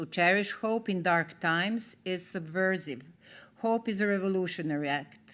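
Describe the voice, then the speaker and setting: Here is a woman with a Serbian accent. She talks at a moderate pace. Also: very clean recording, silent background. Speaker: theatre artist, award laureate. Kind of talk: award acceptance speech. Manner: formal.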